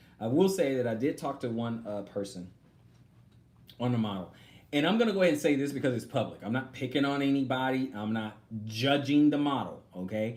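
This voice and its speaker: With an American accent, a man speaks at a fairly quick pace and medium pitch, with ordinary pitch variation and audible room echo. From Texas. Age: 40s. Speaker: online religious teacher. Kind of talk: live stream Q&A. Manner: halting.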